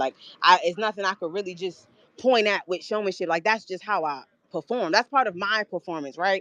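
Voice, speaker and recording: A woman speaks in an animated tone. The sound is dry and close, with no echo. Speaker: battle rapper. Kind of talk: interview. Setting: live stream. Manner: loud.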